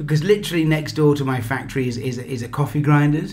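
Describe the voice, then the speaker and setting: Noticeable background noise and audible room echo around a man's speech. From England. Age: 60s. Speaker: business founder. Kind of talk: interview. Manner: animated.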